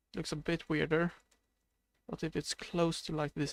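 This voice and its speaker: Heard in a very clean recording with a silent background, a man speaks in a Swedish accent at a fairly slow pace. His fairly high voice has a dry, close sound with no echo. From Sweden. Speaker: video game streamer. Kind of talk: live stream gameplay commentary. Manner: sounds a bit sad; hesitant, many fillers.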